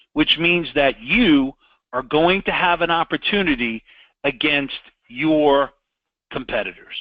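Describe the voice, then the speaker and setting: In a New York accent, a man speaks at fairly high pitch in an animated tone with ordinary pitch variation. His pace is fairly slow, with long, frequent pauses. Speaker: sales trainer. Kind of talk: sales training with role-play pitch. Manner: direct, animated.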